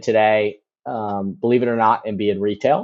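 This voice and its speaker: This man has a normal speaking voice, a fairly low pitch and an American accent. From US Midwest, Chicago. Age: 30s. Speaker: commercial real estate broker. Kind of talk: podcast interview.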